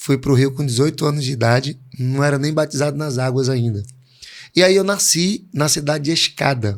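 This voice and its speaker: This man has an ordinary speaking voice. His pitch sits fairly high, with ordinary pitch variation. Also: moderate pace, very clean recording, silent background. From Pernambuco, Brazil. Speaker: pastor. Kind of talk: interview.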